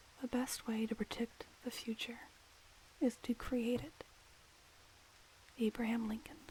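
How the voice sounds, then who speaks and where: A soft-spoken woman with a fairly high pitch talks at a fairly slow pace, her intonation fairly even and broken by long, frequent pauses. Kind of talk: ASMR quote reading.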